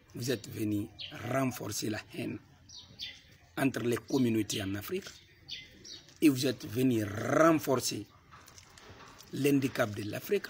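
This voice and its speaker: Noticeable background noise surrounds a man with a medium-pitched voice. He speaks at a fairly slow pace with long, frequent pauses. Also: ordinary pitch variation. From Guinea. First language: a Guinean language, not French (speaking French). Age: young. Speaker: political activist. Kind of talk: political address to camera.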